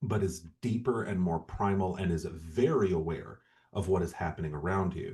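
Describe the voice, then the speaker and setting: A man with an American accent speaks at a moderate pace in a very deep, low pitch with ordinary variation. His tone is dark and mellow, and somewhat breathy. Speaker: podcast co-host. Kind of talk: casual chat.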